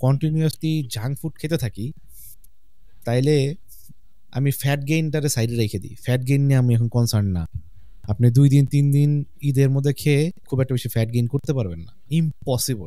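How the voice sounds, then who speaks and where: A man with a dark, mellow tone speaks at medium pitch, with a dry sound with no echo and a quiet background. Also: ordinary pitch variation. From Bangladesh. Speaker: fitness coach. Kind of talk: casual chat. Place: studio. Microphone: studio mic.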